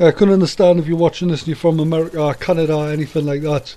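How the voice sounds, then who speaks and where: A man with a dark, mellow tone and fairly high pitch rushes along at a very fast pace with fairly even intonation. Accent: Geordie. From northern England, Newcastle. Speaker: army veteran and gaming commentator. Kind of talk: casual video commentary. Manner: hesitant, many fillers.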